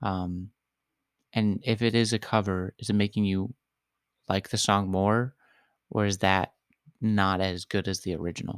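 The recording is very clean, with a silent background and a dry, close sound with no echo. A man speaks at a fairly low pitch in a monotone, flat way, with long, frequent pauses. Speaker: podcast host. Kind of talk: casual chat. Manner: slow.

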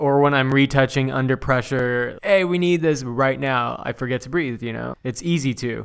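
Hardly pausing, a man with a Southern California accent talks at a moderate pace, with medium pitch and ordinary pitch variation. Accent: Southern Californian English. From Southern California (Inland Empire). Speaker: retoucher and graphic designer. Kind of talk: casual chat.

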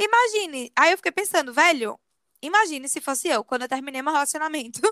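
A woman speaks at a high pitch with lively intonation, her voice raised and projected. Her tone is bright and sharp, and the sound is dry and close with no echo. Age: 20s. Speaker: podcast co-host. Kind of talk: casual chat.

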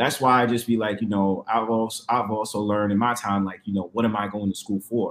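Speaking at a very fast pace with an American accent, a man keeps a fairly low pitch and a monotone, flat intonation. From New York. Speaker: panelist on a live call-in stream. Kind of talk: casual chat. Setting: online live stream call.

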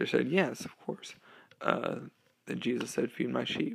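A man talks at a fairly slow pace. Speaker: podcast host. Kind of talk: solo religious talk, podcast monologue. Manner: casual, filler-heavy, conversational.

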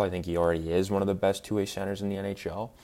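A monotone, flat delivery on a very clean recording with a silent background. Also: man. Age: 20s. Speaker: sports podcast host. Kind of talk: casual solo sports talk. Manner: halting, many fillers.

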